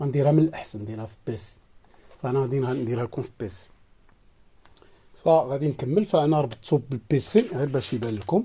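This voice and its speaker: A man in a Moroccan accent, medium-pitched and somewhat breathy with a dark, mellow tone, lively intonation, big swings in loudness and long, frequent pauses. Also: moderate pace. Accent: Moroccan Arabic (Darija). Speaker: satellite receiver tech youtuber. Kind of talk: tutorial. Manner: halting, many fillers.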